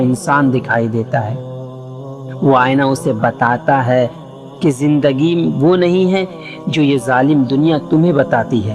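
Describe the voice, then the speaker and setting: A man talks with a fairly high pitch. Music can be heard in the background. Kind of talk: reflective life-lesson narration. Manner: emotional, reflective.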